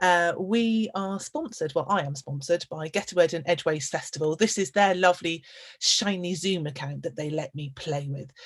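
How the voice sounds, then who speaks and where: A woman talks at a moderate pace with a fairly low pitch. Her intonation is lively and her voice is somewhat breathy. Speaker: storyteller and podcast host. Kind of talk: live webinar host welcome.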